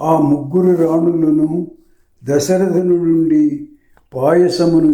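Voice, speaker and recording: High-pitched male voice, intonation fairly level. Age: old. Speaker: scripture reader. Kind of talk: devotional scripture reading.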